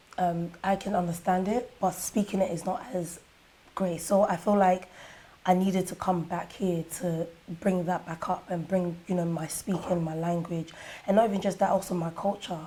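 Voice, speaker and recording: A woman in a London accent, dark, mellow and somewhat breathy, medium in pitch, flat and monotone, at a moderate pace. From Ghana, Kumasi, raised in London from age eight. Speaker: musician and dancer. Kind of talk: interview.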